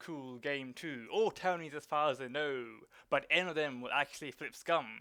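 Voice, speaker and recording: A fairly high-pitched man with a bright, sharp tone and fairly even intonation. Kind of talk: dramatic reading of online forum posts. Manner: dramatic, expressive.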